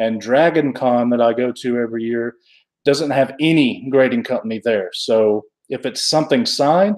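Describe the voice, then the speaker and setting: A man's medium-pitched voice with an Alabama accent, at a moderate pace with ordinary pitch variation. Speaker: comic book collector youtuber. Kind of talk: live stream chat. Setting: live stream. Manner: casual, halting.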